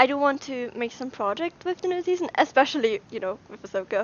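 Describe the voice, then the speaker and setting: A woman talks with an Austrian accent. Her intonation is lively. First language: German. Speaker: YouTuber. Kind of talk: casual livestream Q&A. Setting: livestream from brother's room.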